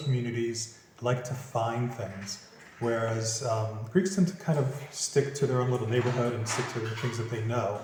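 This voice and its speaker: A man with a Philadelphia accent talks at a moderate pace over noticeable background noise. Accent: American English, Philadelphia. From Philadelphia, USA. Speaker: property finder, business owner. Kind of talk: interview answer. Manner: casual, relaxed.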